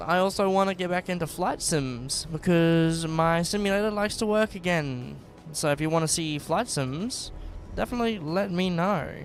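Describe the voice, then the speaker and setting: With music playing in the background, a man with an Australian accent speaks in a high voice. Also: ordinary pitch variation, moderate pace. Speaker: gaming streamer. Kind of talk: casual live-stream chat. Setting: live stream.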